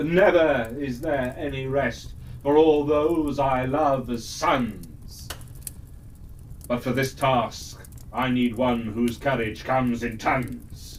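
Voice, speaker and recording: A man's put-on character voice at medium pitch, at a very slow pace, with clear background noise. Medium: read story. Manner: stately, regal rhyming speech.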